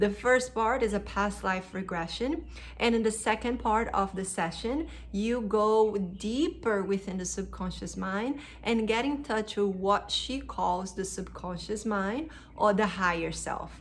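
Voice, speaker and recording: A woman with a non-native accent, in audible room echo. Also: fairly slow pace. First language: not English. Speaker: hypnosis practitioner and spiritual vlogger. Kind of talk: casual explanatory talk to camera.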